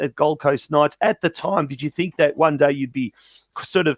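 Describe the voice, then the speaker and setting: In an Australian accent, a man talks at a moderate pace, the sound dry and close with no echo. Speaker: soccer show host. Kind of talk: casual interview.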